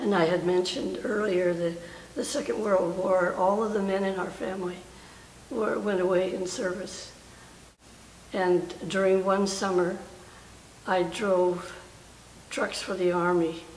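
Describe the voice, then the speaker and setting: In an American accent, a woman reads at a fairly slow pace with fairly even intonation and long, frequent pauses, with light background noise and audible room echo. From Oakland, California. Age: 80s+. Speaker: war veteran. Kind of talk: interview answer. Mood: warm, reflective, smiling. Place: hall.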